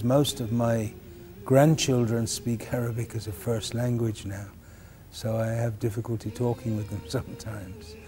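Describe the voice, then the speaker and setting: Music plays behind a man speaking in a Birmingham accent. His voice is medium in pitch and his pace is fairly slow. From England, Birmingham. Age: 50s. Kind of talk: documentary interview.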